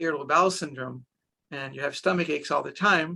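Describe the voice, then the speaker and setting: A man talks at a very fast pace in a bright, sharp tone. Vocal fry runs through his voice. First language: Hebrew. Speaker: doctor using hypnosis with children. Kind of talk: interview.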